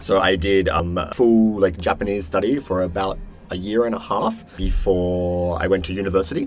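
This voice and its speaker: Amid noticeable background noise, a man with a very deep, low pitch talks at a moderate pace with fairly even intonation. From Western Australia, Perth. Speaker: podcast guest. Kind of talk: casual interview chat. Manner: hesitant, many fillers and repeats.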